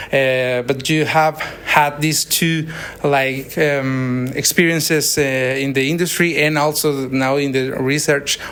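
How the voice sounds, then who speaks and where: A man with a Spanish accent speaks very slowly in a flat monotone, his pitch fairly high. There is noticeable noise behind him. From Mexico. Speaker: interviewer, engineering student visitor. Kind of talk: casual interview. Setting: university lab. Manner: halting, hesitant.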